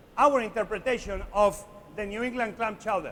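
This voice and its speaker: A man with a Spanish accent speaks at a high pitch. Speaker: chef. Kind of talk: live cooking demonstration to an audience. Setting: conference stage. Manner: lively, playful.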